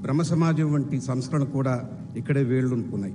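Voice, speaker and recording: A man with a fairly high voice and a dark, mellow tone speaks somewhat breathily, with ordinary pitch variation and audible room echo. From Andhra Pradesh, India (Nellore). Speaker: chief guest speaker, alumnus. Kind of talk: convocation speech. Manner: formal.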